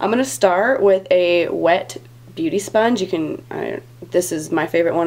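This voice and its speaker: Noticeable noise sits in the background. The delivery is moderately paced. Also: woman. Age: 20s. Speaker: beauty vlogger. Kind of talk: tutorial. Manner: casual, filler-heavy.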